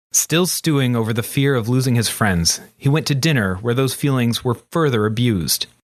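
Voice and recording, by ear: The text is read aloud in a natural voice. The pitch varies in an ordinary way.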